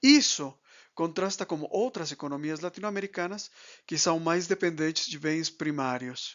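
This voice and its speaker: A high-pitched man with a Spanish accent at a moderate pace, with ordinary pitch variation. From Mexico. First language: Spanish (speaking Portuguese). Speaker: economist and export consultant. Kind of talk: lecture. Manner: halting.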